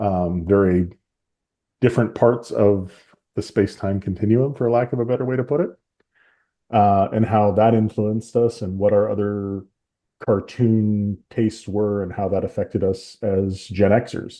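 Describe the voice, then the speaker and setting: At a moderate pace, a man with an American accent speaks in a fairly low pitch with fairly even intonation. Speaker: podcast host. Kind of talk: casual chat.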